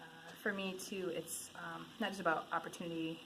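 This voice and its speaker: Amid noticeable background noise and audible room echo, a woman with an Upper Midwest accent speaks at a fairly quick pace and a fairly low pitch. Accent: Upper Midwest American. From Michigan. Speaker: interviewee. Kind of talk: street interview. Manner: halting with many fillers.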